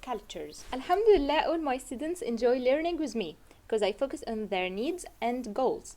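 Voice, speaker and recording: With an Egyptian accent, a woman talks at a moderate pace and high pitch, her dark, mellow tone swinging very widely in pitch, with hardly any pauses. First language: Arabic. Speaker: Arabic tutor. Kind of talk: tutor self-introduction to camera.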